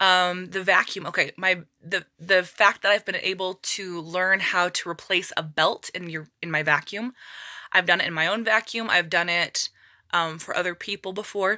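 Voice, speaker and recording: A woman's bright, sharp voice holds a fairly even intonation. The recording is very clean and dry, close with no echo and a silent background. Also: medium pitch for a woman. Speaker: budgeting YouTuber. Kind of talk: casual talk-to-camera vlog. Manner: fast.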